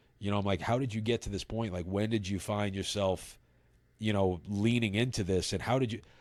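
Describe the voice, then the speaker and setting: A man with a New York accent, fairly low in pitch and fairly quick in pace, with fairly even intonation on a very clean recording with a silent background. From New York City (Brooklyn). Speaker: recovery advocate. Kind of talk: podcast interview. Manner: halting.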